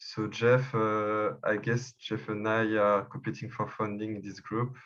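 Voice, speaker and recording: A man with a French accent, fairly low in pitch, at a fairly slow pace and with fairly even intonation. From France, Paris. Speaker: election candidate, community member. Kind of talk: video call group discussion. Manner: halting, many fillers and repeats.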